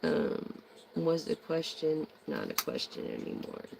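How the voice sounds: The voice carries vocal fry. Delivery comes at a very slow pace.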